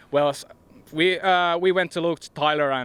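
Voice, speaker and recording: This man speaks with a Finnish accent. His pace is moderate and his intonation fairly even. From Finland. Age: 20s. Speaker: professional disc golfer. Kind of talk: press interview. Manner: halting.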